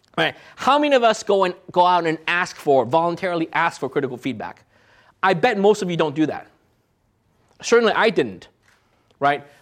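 Pitch swings very widely at a fairly quick pace, broken by long, frequent pauses, on a very clean recording with a silent background. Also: man, high pitch for a man. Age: 40s. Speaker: entrepreneur, startup CEO. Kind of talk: guest lecture.

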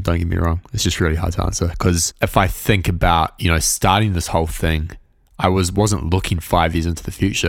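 On a very clean recording with a silent background, a man with a New Zealand accent speaks at a fairly quick pace, his very deep, low pitch held in fairly even intonation. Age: 20s. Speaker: music production podcaster. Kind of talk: interview conversation.

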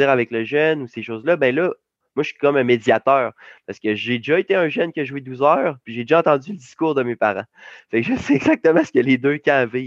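Against a quiet background, a man with a Quebec accent talks fairly quickly in a fairly high voice with lively intonation, the sound dry and close with no echo. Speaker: youth esports coach and entrepreneur. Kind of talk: interview. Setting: video call.

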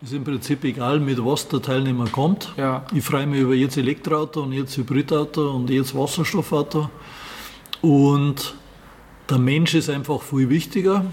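A man with a Bavarian accent, fairly high pitch, and fairly even intonation at a moderate pace, over noticeable background noise. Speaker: classic car rally organizer. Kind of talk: interview. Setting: in his garage museum.

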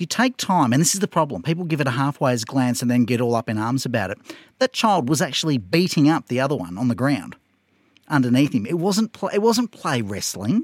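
A man with an Australian accent speaks at a medium pitch and a fairly quick pace, his voice moving in very wide pitch swings. The recording is very clean with a silent background and a dry, close sound with no echo. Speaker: podcast co-host. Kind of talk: casual chat.

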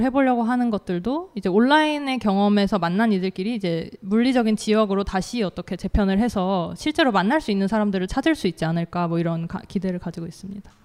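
A woman with a normal speaking voice talks at a fairly quick pace, with medium pitch and ordinary pitch variation, in a very clean recording with a silent background. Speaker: author. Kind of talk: panel discussion. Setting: stage with audience.

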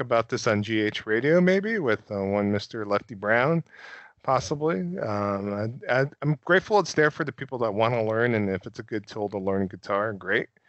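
With a plain, everyday voice, a man speaks at a moderate pace, his medium pitch carried by lively intonation. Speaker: podcast co-host. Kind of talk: casual chat. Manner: casual, fillers like you know.

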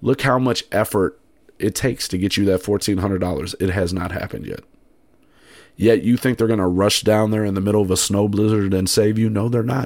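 A man talks in an ordinary speaking voice at a fairly low pitch. He moves at a fairly quick pace with fairly even intonation. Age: 30s. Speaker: podcast host. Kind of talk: solo podcast monologue. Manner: casual, with many fillers.

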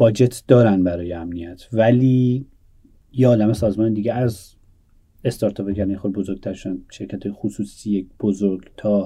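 Speaking at a moderate pace, a man uses a dark, mellow tone with fairly even intonation. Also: fairly low pitch for a man. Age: 30s. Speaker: startup founder. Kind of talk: interview. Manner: halting.

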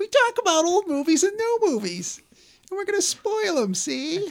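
An extremely high-pitched, put-on character voice at a moderate pace. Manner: playful, mocking.

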